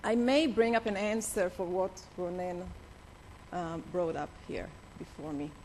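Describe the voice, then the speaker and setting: This woman talks at a medium pitch with an Israeli accent and ordinary pitch variation. Her fairly slow delivery has long, frequent pauses, and audible room echo surrounds it. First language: Hebrew. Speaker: attorney, organization head. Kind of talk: conference speech. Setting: conference stage with audience. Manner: halting.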